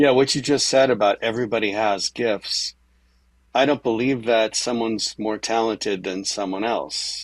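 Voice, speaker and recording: A man with a normal speaking voice and a fairly low pitch talks at a moderate pace with fairly even intonation, in a very clean, dry, close recording with a silent background and no echo. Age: 60s. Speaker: musician. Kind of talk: interview. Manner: conversational, with filler words.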